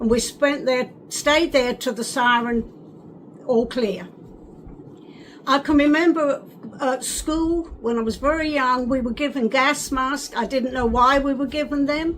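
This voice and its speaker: Over noticeable background noise, the voice moves at a fairly slow pace with fairly even intonation. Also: woman, high pitch for a woman. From England, North London. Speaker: wartime childhood eyewitness. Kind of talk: oral history interview. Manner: halting.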